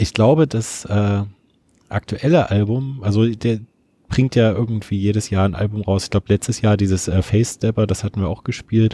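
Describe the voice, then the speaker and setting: A man's fairly low, somewhat breathy voice with a dark, mellow tone, fairly quick pace and fairly even intonation, in a very clean recording with a silent background and a dry, close sound with no echo. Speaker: community radio music show co-host. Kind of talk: casual chat about music.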